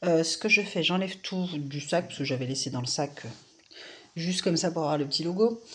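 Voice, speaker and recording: A woman speaks with ordinary pitch variation. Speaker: craft hobby youtuber. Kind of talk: casual unboxing vlog. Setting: at home, early morning. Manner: soft-spoken; hesitant, many fillers.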